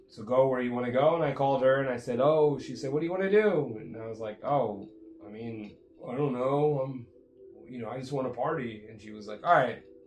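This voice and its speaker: Speaking fairly quickly at a medium pitch with ordinary pitch variation, a man swings widely in loudness amid audible room echo and noticeable background noise. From Jamaica and Miami, Florida. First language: Jamaican Patois. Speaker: podcast host. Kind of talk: casual chat.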